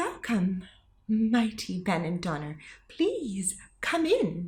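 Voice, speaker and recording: A put-on character voice, female-sounding, at medium pitch and a very slow pace, on a very clean recording with a silent background. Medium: read story.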